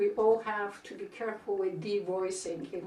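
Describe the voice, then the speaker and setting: A woman speaks at a fairly slow pace, with audible room echo and noticeable background noise in the recording. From Bulgaria. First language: Bulgarian. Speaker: linguistics professor. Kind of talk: interview.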